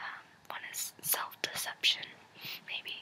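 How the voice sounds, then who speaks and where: Someone whispers over noticeable background noise. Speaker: ASMR creator. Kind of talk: whispered reading and rambling. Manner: whispering; soft-spoken.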